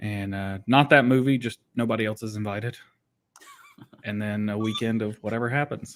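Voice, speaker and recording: This man speaks at a medium pitch and a moderate pace. His pitch varies in an ordinary way. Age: 30s. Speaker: gaming podcast co-host. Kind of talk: casual chat.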